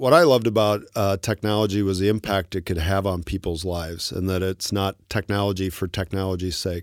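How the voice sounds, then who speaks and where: A man in an unremarkable speaking voice talks at a fairly quick pace and fairly low pitch, with fairly even intonation and hardly any pauses. The recording is very clean with a silent background, and the sound is dry and close with no echo. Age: 50s. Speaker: tech company co-founder. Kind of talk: interview.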